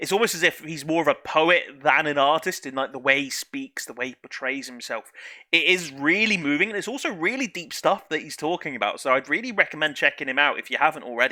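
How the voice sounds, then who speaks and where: A man with a British accent speaks at a very fast pace with hardly any pauses, in a bright, sharp tone and a fairly high pitch. His intonation is lively, and his loudness swings widely. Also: very clean recording, silent background. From UK. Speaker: YouTube music reactor. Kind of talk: reaction video commentary. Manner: casual, hesitant with fillers.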